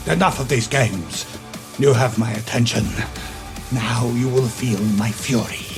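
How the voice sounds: A man's put-on character voice at medium pitch and moderate pace, with clear music in the background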